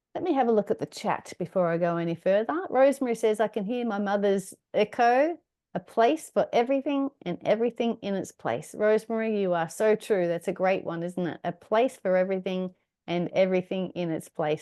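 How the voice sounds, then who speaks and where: Lively in intonation, a woman speaks at a medium pitch. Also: fairly quick pace. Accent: Australian. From Australia. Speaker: decluttering workshop presenter. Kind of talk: online workshop presentation.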